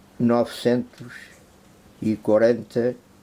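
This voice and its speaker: The voice has a dark, mellow tone and speaks at a very slow pace with monotone, flat intonation. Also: man. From Portugal, Algarve (Cacela Velha). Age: 70s. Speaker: chair maker. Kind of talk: interview testimony and craft explanation. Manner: casual, repetitive.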